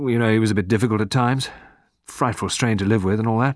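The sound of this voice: In a quiet setting, an unforced reading voice keeps its intonation fairly even.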